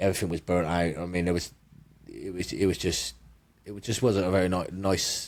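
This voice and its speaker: A man speaks at a fairly quick pace with a very deep, low pitch. His intonation stays fairly even. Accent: Bristol. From England, Bristol. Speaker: power slap fighter. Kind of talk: casual interview chat. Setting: studio.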